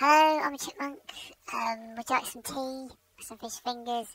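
A woman's put-on character voice, high for a woman, at a moderate pace with big swings in loudness. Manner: silly.

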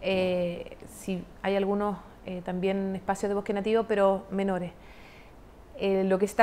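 A woman is speaking. Her pace is fairly slow. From southern Chile, Los Lagos region. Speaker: government tourism official; guest. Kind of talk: broadcast interview. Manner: hesitant with many fillers. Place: studio. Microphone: lapel.

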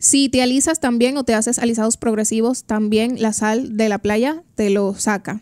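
Speaking at a moderate pace with hardly any pauses, a woman uses a fairly high pitch, fairly even intonation and very even loudness. The background is quiet and the sound is dry with no echo. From Dominican Republic. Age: 20s. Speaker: trichologist and hair stylist; guest. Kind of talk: radio interview. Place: studio. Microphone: studio mic.

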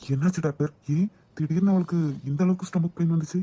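A man speaks in a cartoonish character voice, pitched high, at a fairly quick pace with fairly even intonation. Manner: commanding, direct.

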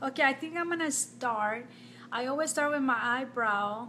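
Against light background noise, the voice has a bright, sharp tone and ordinary pitch variation. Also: woman. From Nicaragua. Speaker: makeup vlogger. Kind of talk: live-stream makeup tutorial. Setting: home, live video stream. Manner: casual, chatty with frequent fillers. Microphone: phone near.

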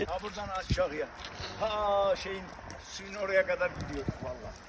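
Noticeable background noise runs under this man's voice. He speaks high-pitched in a monotone, flat intonation. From Turkey, Kars. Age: 80s+. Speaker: local elder. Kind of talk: casual chat.

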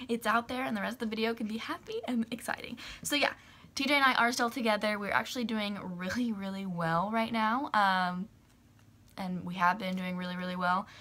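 At a fairly quick pace, a woman speaks in a bright, sharp tone with ordinary pitch variation. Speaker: vlogger. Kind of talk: casual vlog chat. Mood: slightly nervous, then upbeat. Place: home room.

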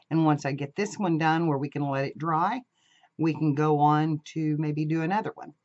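Someone speaks at a moderate pace against a quiet background. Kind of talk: casual craft tutorial chat. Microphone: camera far.

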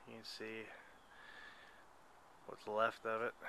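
Over light background noise, a man's bright, sharp voice comes at a moderate pace, with a dry sound and no echo. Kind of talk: casual vlog chat. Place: forest. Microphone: phone near.

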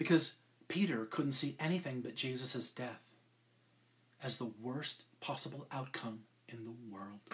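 Fairly slow, somewhat breathy delivery with big swings in loudness and ordinary pitch variation. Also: man. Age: 50s. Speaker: podcast co-host and preacher; pastor. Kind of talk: sermon. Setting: live stream. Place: home room. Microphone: webcam.

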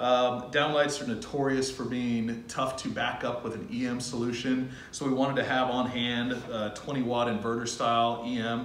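A man talks at a moderate pace with hardly any pauses. His delivery is flat and monotone, with audible room echo and light background noise. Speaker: lighting sales representative. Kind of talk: product demonstration. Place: factory. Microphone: camera far.

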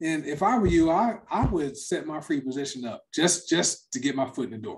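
A man with a plain, everyday voice speaks at a moderate pace, his fairly high pitch moving with ordinary variation against a quiet background. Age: 50s. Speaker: network marketing presenter. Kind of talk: sales pitch. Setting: online livestream presentation.

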